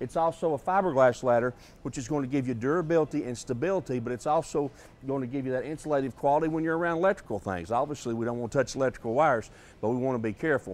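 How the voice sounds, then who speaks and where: Delivery is very fast, and the pitch varies in an ordinary way. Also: man. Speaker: TV home improvement host. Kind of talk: tutorial. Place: shop.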